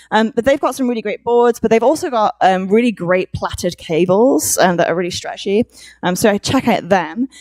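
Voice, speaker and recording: Fairly quick speech in a Welsh accent, dry and close with no echo. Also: woman. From Wales. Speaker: conference speaker. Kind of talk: conference talk. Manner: hesitant, many fillers.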